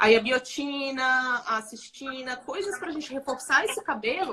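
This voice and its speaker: Over noticeable background noise, a woman uses a raised, projected voice at a high pitch, with lively intonation and big swings in loudness. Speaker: dermatologist. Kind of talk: live stream interview. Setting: Instagram live.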